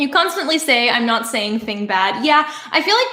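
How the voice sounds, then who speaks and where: With a plain, everyday voice, a woman speaks at a fairly high pitch and a moderate pace. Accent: Canadian. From Canada. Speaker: YouTuber. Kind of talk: livestream Q&A. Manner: casual, filler-heavy.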